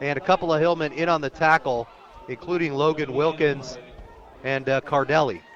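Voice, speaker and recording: Noticeable background noise beneath a fairly high-pitched male voice. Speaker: radio play-by-play announcer. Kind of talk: live sports play-by-play broadcast. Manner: fast, energetic.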